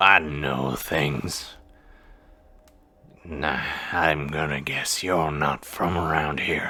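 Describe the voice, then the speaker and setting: A man puts on a raspy character voice, pitched very deep and low. He speaks at a very slow pace with long, frequent pauses. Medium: actual play.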